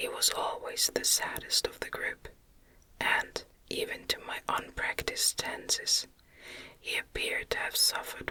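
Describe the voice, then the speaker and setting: Soothing whispering at a fairly slow pace, with noticeable background noise. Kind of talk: ASMR whisper reading of a classic novel, bedtime story. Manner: whispered, soft, soothing.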